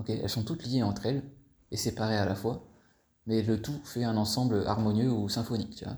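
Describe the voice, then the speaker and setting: A man speaks at a fairly quick pace and a medium pitch, his voice dark, mellow and somewhat breathy. His tone is relaxed and his intonation fairly even, with long, frequent pauses. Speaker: life coach. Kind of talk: casual voice note monologue. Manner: relaxed, hesitant with fillers.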